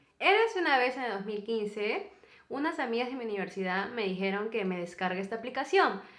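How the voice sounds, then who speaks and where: The speaker uses lively intonation, with audible room echo around the voice. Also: woman, fairly high pitch for a woman. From Peru. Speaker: YouTuber, co-host of a couple's channel. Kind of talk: casual storytelling chat.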